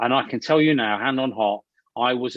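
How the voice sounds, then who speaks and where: A man with an East Midlands accent, medium-pitched, with ordinary pitch variation and a fairly quick pace. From Leicestershire, England. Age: 40s. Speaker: actor and filmmaker. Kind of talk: interview. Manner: halting, many repetitions; loud.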